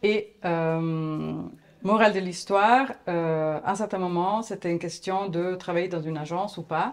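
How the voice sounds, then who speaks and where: A woman with an Italian accent speaks at a fairly low pitch with ordinary pitch variation. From Italy, Florence. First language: Italian (speaking French). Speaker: agency founder, graphic designer. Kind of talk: interview. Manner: hesitant.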